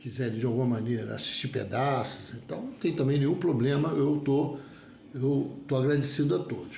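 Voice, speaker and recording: A man's fairly high voice at a moderate pace, with ordinary pitch variation, audible room echo, and noticeable background noise. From Rio de Janeiro (Olaria). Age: 70s. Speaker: mechanical engineer, union member. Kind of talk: personal statement video monologue. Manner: halting, with repetitions and self-corrections.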